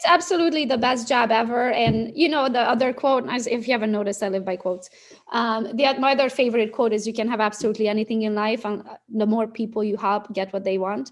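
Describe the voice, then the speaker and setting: Speaking very fast with a non-native accent, a woman uses ordinary pitch variation at a fairly high pitch. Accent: foreign. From Romania. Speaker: real estate social media coach. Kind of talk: interview answer.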